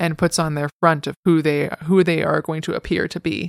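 A woman with vocal fry at a very deep, low pitch and moderate pace, in a very clean recording with a silent background and a dry, close sound with no echo. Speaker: book enthusiast guest. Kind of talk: casual chat.

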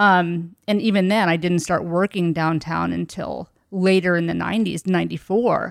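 A woman with a plain, everyday voice speaks at a moderate pace, fairly low in pitch with fairly even intonation. The recording is very clean, with a silent background. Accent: American. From rural southern Indiana. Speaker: city market director. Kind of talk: casual interview chat.

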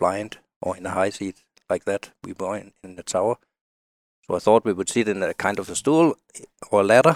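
A man talks at a moderate pace in a fairly low pitch, with long, frequent pauses and big swings in loudness. The sound is dry and close, with no echo. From Denmark. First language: Danish. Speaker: outdoor writer and hunter. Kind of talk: casual interview chat. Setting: studio.

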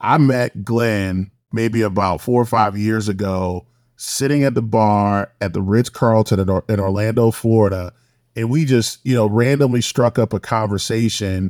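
A man with an American accent speaks at a moderate pace in a plain, everyday voice, fairly low in pitch with fairly even intonation. The recording is very clean with a silent background and a dry, close sound with no echo. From Savannah, Georgia, US South. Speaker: podcast host, law firm partner. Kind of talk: podcast interview.

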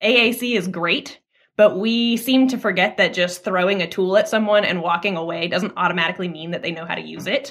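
Delivered in an ordinary speaking voice at a fairly quick pace, this speech has an American accent and ordinary pitch variation. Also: woman, medium pitch for a woman. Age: 20s. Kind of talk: interview.

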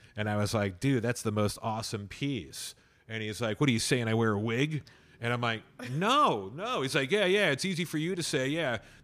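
The voice is a plain, everyday voice, moving at a moderate pace with lively intonation. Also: man, medium pitch for a man. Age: 40s. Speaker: radio host. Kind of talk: casual chat.

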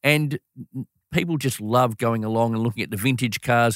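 A man with an Australian accent speaks in a medium pitch at a fairly quick pace, on a very clean recording with a silent background and a dry, close sound with no echo. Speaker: sports event executive. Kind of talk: interview. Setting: studio. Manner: enthusiastic.

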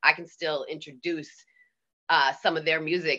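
A woman speaks with a Boston accent in a bright, sharp tone and a very deep, low pitch. Her pace is fairly slow against a quiet background. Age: 50s. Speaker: DJ. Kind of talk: casual chat. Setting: video call.

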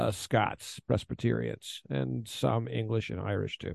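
A man speaks in a plain, everyday voice at a fairly slow pace. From Texas, Houston. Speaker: war correspondent. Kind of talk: interview.

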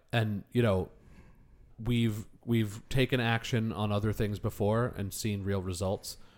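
On a very clean recording with a silent background, a man with an unremarkable speaking voice talks at a fairly slow pace with a fairly low pitch and fairly even intonation. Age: 30s. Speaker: podcast co-host. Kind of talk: casual chat.

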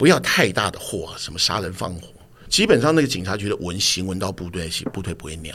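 Loudness swings widely as a man talks at a fairly quick pace, his very deep, low voice full of lively intonation. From Taiwan (Tamsui; grew up in Dazhi, Taipei). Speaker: TV drama director. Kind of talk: interview conversation.

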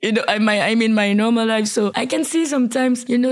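A woman speaks with a French accent at a fairly high pitch. Her pace is moderate and her intonation fairly even. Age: 30s. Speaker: rapper. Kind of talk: interview. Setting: in person, Martigny.

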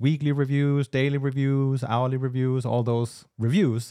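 At a moderate pace and medium pitch, a man talks with a Danish accent, the sound dry and close with no echo. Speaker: business podcast co-host. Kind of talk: casual business discussion.

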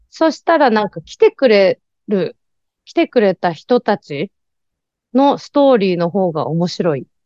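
Against a quiet background, a woman with a dark, mellow tone speaks fairly slowly at medium pitch with very wide pitch swings, the sound dry and close with no echo. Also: big swings in loudness. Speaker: writer and activist. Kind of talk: casual interview.

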